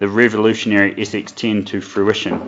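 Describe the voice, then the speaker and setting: He speaks with a New Zealand accent and a bright, sharp tone. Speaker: product manager, webinar host. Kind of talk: webinar presentation. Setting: online webinar. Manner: hesitant, many fillers.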